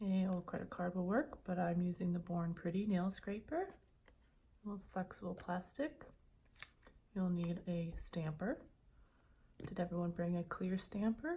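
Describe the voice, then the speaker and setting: A calm woman's voice at medium pitch, dark, mellow and somewhat breathy, at a fairly slow pace. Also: ordinary pitch variation. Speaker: ASMR creator. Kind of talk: ASMR nail stamping tutorial roleplay. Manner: calm, teacherly.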